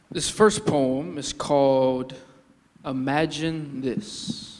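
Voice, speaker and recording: Against noticeable background noise, a man with a fairly high pitch and ordinary pitch variation speaks at a very slow pace. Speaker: spoken word poet. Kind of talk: casual talk to live audience.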